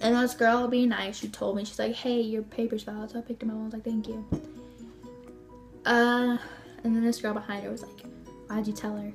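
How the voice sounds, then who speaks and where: A woman talks at a fairly quick pace with monotone, flat intonation and long, frequent pauses. Music plays in the background. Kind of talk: casual talk to camera. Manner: stuttering.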